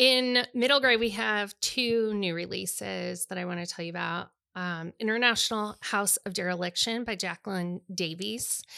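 A woman's loud, medium-pitched voice with a bright, sharp tone moves at a moderate pace with hardly any pauses and ordinary pitch variation, on a very clean recording with a silent background. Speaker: podcast host and bookstore co-owner. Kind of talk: casual chat about books.

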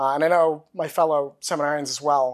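Against a quiet background, a man with an American accent and an ordinary speaking voice talks at a moderate pace in a fairly high pitch. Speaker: seminarian. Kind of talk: interview testimony.

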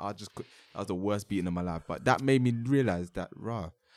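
A man speaks with a London accent. His pace is fairly quick, with ordinary pitch variation. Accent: London English (multicultural London English). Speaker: podcast host. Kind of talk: casual chat.

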